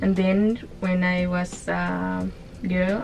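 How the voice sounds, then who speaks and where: A woman's medium-pitched voice with music in the background. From Honduras. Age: 20s. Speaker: cruise ship hotel cleaner. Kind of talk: interview. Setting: on a cruise ship. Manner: halting.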